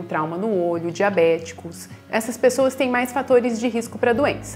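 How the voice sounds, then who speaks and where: Over faint background music, a woman speaks at a moderate pace with ordinary pitch variation. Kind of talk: health explainer segment. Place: office. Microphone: lapel.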